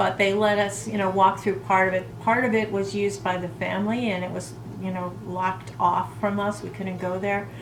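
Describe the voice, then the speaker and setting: The speech moves at a moderate pace with lively intonation and hardly any pauses, over noticeable background noise. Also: woman, medium pitch for a woman. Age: 60s. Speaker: lifestyle vlogger. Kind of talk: casual talk to camera.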